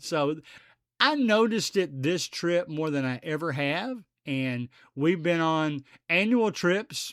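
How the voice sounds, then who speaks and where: A normal speaking voice from a man, fairly high in pitch, with lively intonation. The recording is very clean and the background silent. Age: 60s. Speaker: podcast host. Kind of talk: casual monologue.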